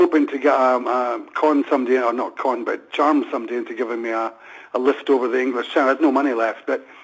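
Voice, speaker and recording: Through noticeable background noise, a man speaks very fast at a medium pitch with monotone, flat intonation. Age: 70s. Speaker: music manager. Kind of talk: interview.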